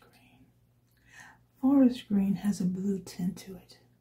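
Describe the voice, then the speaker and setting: A woman's voice sits at a medium pitch with a dark, mellow tone and a somewhat breathy quality. Her pitch moves in an ordinary way. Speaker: watercolor artist. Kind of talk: ASMR art tutorial narration. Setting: quiet room with ambient sound. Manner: soft-spoken, sometimes whispering.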